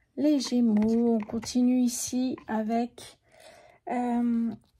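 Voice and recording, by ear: A soft-spoken woman's fairly high, dark, mellow voice, slow and with little pitch movement.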